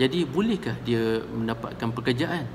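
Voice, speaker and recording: Amid audible room echo and noticeable background noise, a man speaks at a medium pitch. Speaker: counselor. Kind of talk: storytelling monologue. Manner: halting, with many fillers.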